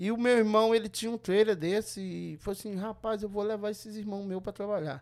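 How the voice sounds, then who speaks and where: On a very clean recording with a silent background, a man talks in a high pitch. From Brazil, Governador Valadares, Minas Gerais. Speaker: restaurant business owner. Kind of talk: casual interview. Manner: halting.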